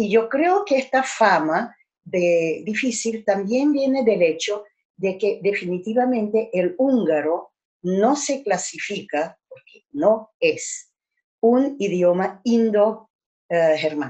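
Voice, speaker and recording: A woman with a Hungarian accent, fairly high-pitched, lively in intonation and very slow in pace. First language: Hungarian (speaking Spanish). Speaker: language teacher. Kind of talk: lecture.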